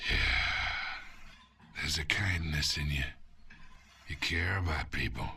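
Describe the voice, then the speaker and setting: Using a put-on character voice with a very deep, low pitch, a man speaks with long, frequent pauses. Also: moderate pace. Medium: video game. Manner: smug, taunting.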